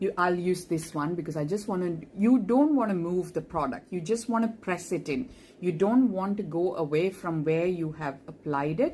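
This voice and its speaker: A woman speaks in an Keralan accent with a dark, mellow tone and fairly low pitch. Her intonation is lively, her pace moderate, with hardly any pauses. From India (Kerala). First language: Malayalam. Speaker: makeup tutorial creator, doctor. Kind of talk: makeup tutorial; casual aside.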